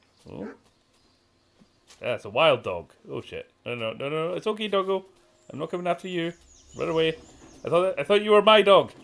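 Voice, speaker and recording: With a British accent, a man speaks high-pitched at a fairly quick pace, his intonation lively, his loudness swinging widely, and his pauses long and frequent. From Scotland, near Glasgow. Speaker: gaming streamer. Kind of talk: live gameplay commentary. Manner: animated; halting, repeats words.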